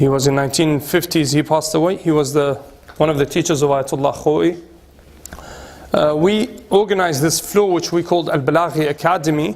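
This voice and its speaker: Over noticeable background noise, a man with a British accent talks at a fairly quick pace in a fairly high pitch. His loudness stays very even, with ordinary pitch variation. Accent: British-tinged English. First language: Arabic. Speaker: cleric and institute director. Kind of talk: guided tour talk. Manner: halting.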